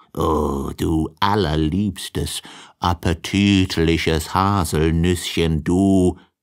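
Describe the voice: Doing a put-on character voice, a man speaks very slowly at a low pitch with fairly even intonation and a clear, smooth tone, in a very clean recording with a silent background.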